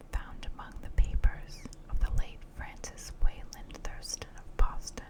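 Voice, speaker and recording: Whispering at a fairly slow pace, a woman's loudness swings widely over noticeable background noise. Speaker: ASMR artist. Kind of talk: audiobook reading of a horror story. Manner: whispered; soft, relaxing.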